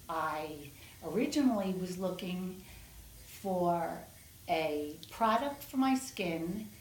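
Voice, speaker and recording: A somewhat breathy woman's voice with an American accent, medium pitch, lively intonation and a very slow pace, with audible room echo. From New York City. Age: 60s. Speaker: patient giving testimonial. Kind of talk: interview testimonial.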